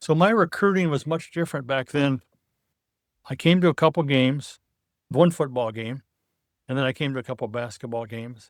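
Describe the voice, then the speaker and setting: Recorded very cleanly with a silent background and a dry, close sound with no echo, a man with a US Midwestern accent speaks at a moderate pace in a medium pitch, with ordinary pitch variation and long, frequent pauses. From Iowa, US Midwest. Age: 70s. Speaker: retired football coach. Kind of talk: interview.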